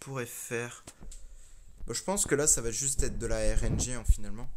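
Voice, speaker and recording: A man is talking. The rise and fall of his voice stays fairly even. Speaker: gaming video creator. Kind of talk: gameplay commentary. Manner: fast.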